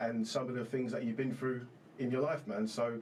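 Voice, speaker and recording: Over noticeable background noise, a man with a London accent speaks with ordinary pitch variation. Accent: London English (multicultural London). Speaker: podcast host. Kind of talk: casual chat.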